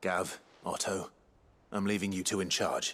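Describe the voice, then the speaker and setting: A man's raspy, put-on character voice, fairly low in pitch at a moderate pace, on a very clean recording with a silent background. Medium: video game. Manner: quiet, steady.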